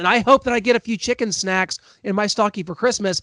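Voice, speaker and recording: A man with an American accent, very fast and fairly even in intonation, in a dry, close sound with no echo over a quiet background. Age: 30s. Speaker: sports podcast host. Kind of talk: casual chat.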